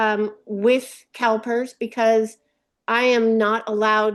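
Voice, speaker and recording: Against a quiet background, a woman speaks at a fairly high pitch with monotone, flat intonation. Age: 60s. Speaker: retiree caller, part-time teacher. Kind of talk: question at a webinar town hall. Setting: webinar call. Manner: hesitant, many fillers.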